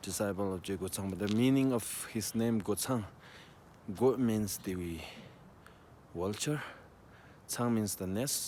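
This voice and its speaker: On a very clean recording with a silent background, a man talks at a fairly slow pace in a dark, mellow tone, his fairly low pitch kept in fairly even intonation. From Tibet. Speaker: tour guide. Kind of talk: casual storytelling to camera. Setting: outdoors.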